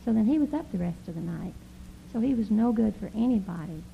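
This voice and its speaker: The voice has a dark, mellow tone with vocal fry. It moves at a moderate pace with ordinary pitch variation. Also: woman. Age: 40s. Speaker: pastor's wife. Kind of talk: church talk. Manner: informal, laughing.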